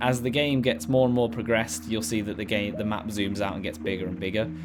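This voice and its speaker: Lively intonation marks this man's speech, delivered with a British accent. Noticeable background noise and audible room echo surround him. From Britain. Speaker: gaming YouTuber. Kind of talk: gameplay commentary. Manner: casual, hesitant with fillers.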